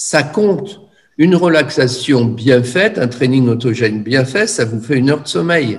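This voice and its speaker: A somewhat breathy man's voice of medium pitch, fairly slow, with lively intonation. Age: 70s. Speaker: energy therapist and teacher. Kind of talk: lecture. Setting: video call. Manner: halting.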